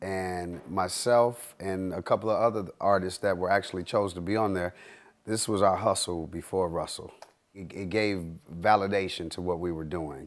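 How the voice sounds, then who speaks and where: In a very clean recording with a silent background, a man speaks fairly slowly at a fairly low pitch with ordinary pitch variation. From Detroit, Michigan. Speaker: spoken word poet. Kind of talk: interview. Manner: halting.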